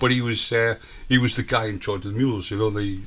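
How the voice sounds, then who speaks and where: In a very clean recording with a silent background, a man with a northern English accent speaks in a monotone, flat way. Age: 50s. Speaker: radio host. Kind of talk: casual chat.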